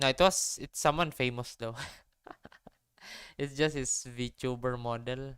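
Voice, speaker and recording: The speaker has a Filipino accent and talks at a fairly slow pace. Long pauses come often. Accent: sounds familiar (Filipino). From Philippines. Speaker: vtuber streamer. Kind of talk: casual live stream chat.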